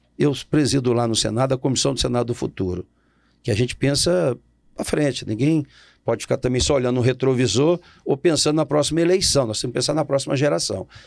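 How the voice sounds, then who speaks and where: In quiet surroundings, a man rattles off his words at a very fast pace. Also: ordinary pitch variation. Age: 60s. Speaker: politician. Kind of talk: interview. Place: studio. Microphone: studio mic.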